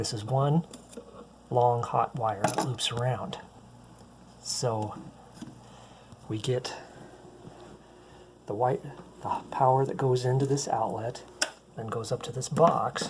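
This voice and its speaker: A soft-spoken man's medium-pitched voice at a very slow pace, with fairly even intonation and long, frequent pauses. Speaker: handyman. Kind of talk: tutorial. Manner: casual with filler words; quiet, soft-spoken.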